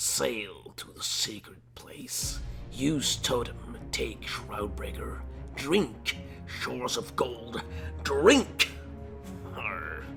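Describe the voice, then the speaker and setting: A man's put-on character voice, very slow, over clear music in the background. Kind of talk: dramatic journal reading. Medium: machinima. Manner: clipped, fragmentary diary phrasing.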